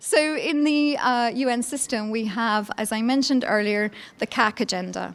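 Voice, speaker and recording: A woman's high-pitched voice at a moderate pace. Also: ordinary pitch variation. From Scotland, Edinburgh. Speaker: law professor. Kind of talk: conference lecture. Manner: hesitant with fillers.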